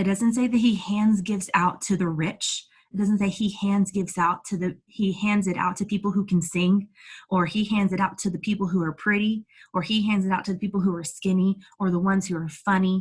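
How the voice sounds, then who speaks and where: A woman's somewhat breathy, medium-pitched voice at a fairly quick pace. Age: 30s. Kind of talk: inspirational talk to online audience. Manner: energetic, animated; stumbling over words at times.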